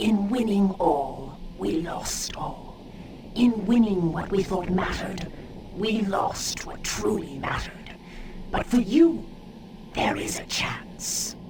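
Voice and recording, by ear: A cartoonish character voice speaks in a middle pitch at a fairly slow pace. There is a slight echo and clear background noise.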